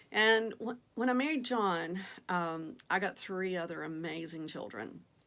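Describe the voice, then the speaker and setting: This woman speaks with a Southern US accent. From Virginia, US South. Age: 50s. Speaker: vlogger, online reseller. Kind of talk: casual vlog introduction. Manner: hesitant with frequent fillers.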